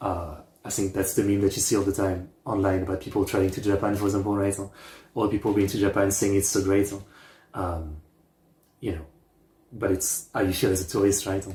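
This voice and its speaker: A man with a fairly low, somewhat breathy voice and a dark, mellow tone talks at a fairly quick pace in a flat monotone, with long, frequent pauses. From France. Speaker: reaction youtuber. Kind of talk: casual commentary. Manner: hesitant, filler-heavy.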